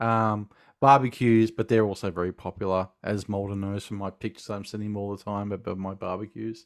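On a very clean recording with a silent background, a man with an Australian accent talks at a fairly quick pace and a fairly low pitch. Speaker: film podcast host. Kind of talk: casual chat. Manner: animated.

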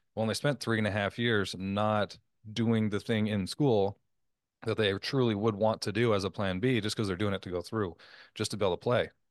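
A man with a plain, everyday voice talks at a fairly quick pace, his pitch fairly low and his intonation fairly even. The sound is dry and close with no echo, over a quiet background. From Canada. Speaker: podcast host, former professional athlete. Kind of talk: interview conversation.

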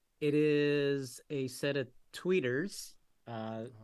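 A man's medium-pitched, unremarkable speaking voice with an American accent and fairly even intonation, on a very clean recording with a silent background. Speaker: co-host, car audio competitor. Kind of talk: casual chat.

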